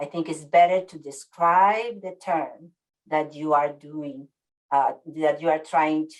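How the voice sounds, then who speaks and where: With a Spanish accent, a woman speaks at a fairly slow pace in a very deep, low voice, her intonation fairly even but her loudness swinging widely. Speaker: webinar presenter on worker health communication. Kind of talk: webinar presentation. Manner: hesitant, many fillers.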